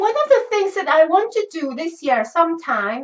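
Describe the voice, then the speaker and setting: A loud woman's voice at extremely high pitch, swinging very widely in pitch at a moderate pace. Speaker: crochet and knitting youtuber. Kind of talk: casual chat.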